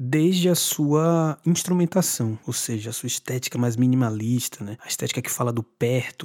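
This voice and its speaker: Here is a man with an unremarkable speaking voice at a medium pitch and ordinary pitch variation. He keeps a moderate pace with hardly any pauses, and the sound is dry and close with no echo. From Brazil, Bahia (Salvador). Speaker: singer-songwriter. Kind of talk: interview.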